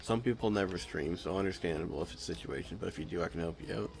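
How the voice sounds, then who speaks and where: Music plays in the background as a man talks at a very fast pace. His pitch is very deep and low. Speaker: video game streamer. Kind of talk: casual live-stream chat. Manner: poor enunciation.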